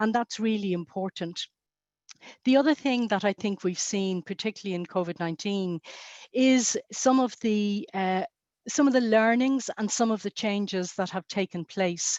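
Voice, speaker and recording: Medium-pitched female speech at a moderate pace, with ordinary pitch variation. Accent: Irish. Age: 60s. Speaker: health policy panelist. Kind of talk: webinar panel discussion. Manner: halting, many fillers.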